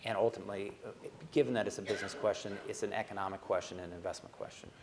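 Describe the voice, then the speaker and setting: Spoken in an American accent. The pace is very fast. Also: man. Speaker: asset manager. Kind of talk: panel discussion.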